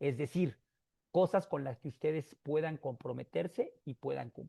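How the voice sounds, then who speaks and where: Over a quiet background, a man with a fairly high pitch and a dark, mellow tone speaks at a fairly slow pace in a dry, close sound with no echo. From Mexico. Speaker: motivational speaker. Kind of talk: talk to an audience.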